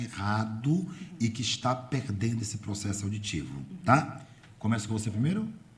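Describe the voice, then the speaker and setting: Audible room echo surrounds a man's voice. He sounds somewhat breathy, with lively intonation. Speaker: radio host and journalist. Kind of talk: radio interview.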